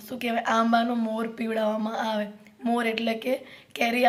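A woman with a fairly high pitch talks in a monotone, flat way over noticeable background noise and audible room echo. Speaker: vlogger and mother. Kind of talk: casual vlog talk to camera.

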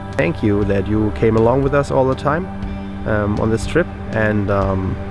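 There is clear music in the background. Over it, a man speaks with a fairly low pitch. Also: dry sound with no echo. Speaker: road trip vlogger. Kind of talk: casual vlog chat. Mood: pleased, calm. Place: street. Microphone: phone near.

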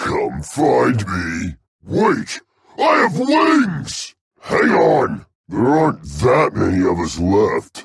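A man uses a put-on character voice at a very slow pace. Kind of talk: video game character battle lines. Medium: video game. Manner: aggressive, boisterous.

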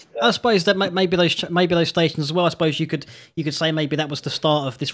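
The speaker is a man. The background is quiet. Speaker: interviewer. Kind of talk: casual interview talk. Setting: Skype call. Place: studio. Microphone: studio mic.

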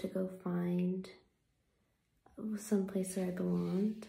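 A soft-spoken woman, with audible room echo. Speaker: vlogger. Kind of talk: reflective personal talk. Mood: earnest, reflective. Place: home room. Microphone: phone near.

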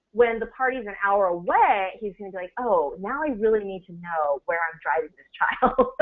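With an American accent, a woman has an unremarkable speaking voice at medium pitch, lively intonation, a moderate pace and big swings in loudness. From United States. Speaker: business executive, guest speaker. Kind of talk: webinar presentation. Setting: online webinar.

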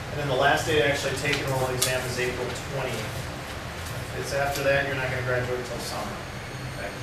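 Someone talks at a very fast pace. The room echo is audible and the background noise is loud. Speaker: graduate program faculty member. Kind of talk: announcements to students. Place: classroom. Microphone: camera far.

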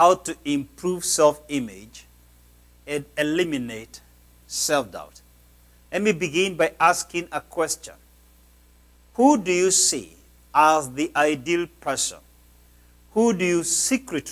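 This man has a fairly high pitch and lively intonation. His pace is very slow, with long, frequent pauses. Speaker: pastor, preacher. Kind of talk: sermon, motivational preaching. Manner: emphatic, preacherly. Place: church. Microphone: lapel.

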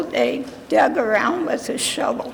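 A woman is speaking amid noticeable background noise. Room echo is audible too. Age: 80s+. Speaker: public commenter, relative of the buried. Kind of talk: public comment at council meeting. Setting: city council chambers.

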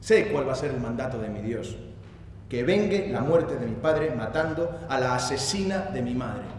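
A man with lively intonation at a moderate pace, amid light background noise and audible room echo. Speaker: actor giving a dramatic reading. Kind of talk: theatrical monologue reading. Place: stage. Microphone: headset.

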